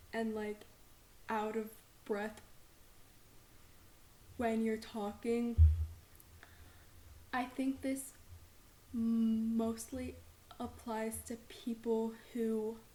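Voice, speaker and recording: Noticeable background noise sits behind a woman speaking very slowly with long, frequent pauses. Her fairly high voice stays monotone and flat. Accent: American. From Texas. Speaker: student, podcast host. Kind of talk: podcast introduction talk.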